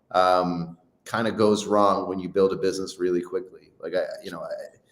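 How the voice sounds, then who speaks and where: With an American accent, a man talks at a fairly quick pace in a fairly low pitch, his voice carrying audible room echo. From Ireland, Dublin area. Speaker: startup founder and CEO. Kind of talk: interview. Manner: halting, many repetitions and fillers.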